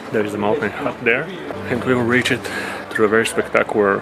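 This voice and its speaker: This is a man speaking. Music plays behind him. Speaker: travel vlogger. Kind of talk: casual vlog chat. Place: open country. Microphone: phone near.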